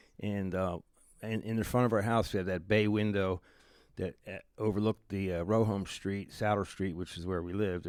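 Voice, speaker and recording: On a very clean recording with a silent background, a man with a Philadelphia accent speaks fairly quickly in a fairly low pitch, his intonation monotone and flat. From Philadelphia, northeast (Oxford Circle). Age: 70s. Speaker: music promoter. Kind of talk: radio interview.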